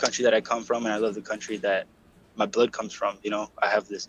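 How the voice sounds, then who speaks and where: A man with a Californian accent. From US West, South San Diego, California. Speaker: podcast guest. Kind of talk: casual chat. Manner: halting.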